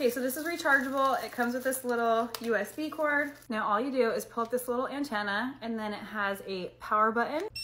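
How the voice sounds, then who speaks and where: A woman's high-pitched voice with hardly any pauses over light background noise. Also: ordinary pitch variation, fairly quick pace. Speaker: product reviewer. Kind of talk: casual product review vlog. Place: home room. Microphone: phone near.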